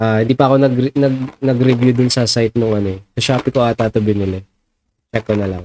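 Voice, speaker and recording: Dark and mellow in tone, a man's medium-pitched voice moves at a fairly quick pace with a dry, close sound with no echo. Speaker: product reviewer, YouTuber. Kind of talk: casual product review. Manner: halting, many fillers.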